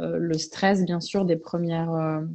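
This woman's voice, fairly low in pitch, unfolds at a very slow pace. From Belgium, English parents. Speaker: veterinarian. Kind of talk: interview, personal testimony. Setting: Instagram live video stream.

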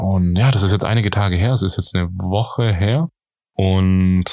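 This is a man's voice, pitched very deep and low. He keeps a moderate pace. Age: 20s. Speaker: podcast host. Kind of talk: solo podcast monologue.

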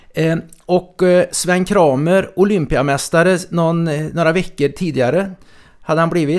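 The speech moves at a moderate pace with fairly even intonation and very even loudness. The recording is very clean, with a silent background. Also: man. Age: 60s. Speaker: podcast host. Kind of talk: casual chat. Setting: studio.

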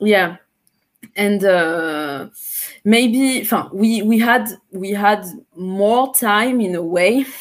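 Speaking with a French Caribbean accent at a very slow pace, with long, frequent pauses and ordinary pitch variation, the voice comes through on a very clean recording with a silent background. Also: woman, medium pitch for a woman. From Martinique. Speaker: singer-songwriter and beat maker. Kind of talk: interview. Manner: halting, with many fillers.

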